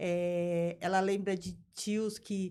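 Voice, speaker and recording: A woman speaks in an unremarkable speaking voice with fairly even intonation. The recording is very clean, with a silent background. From Brazil, São Paulo city. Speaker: business founder and board advisor. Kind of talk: interview.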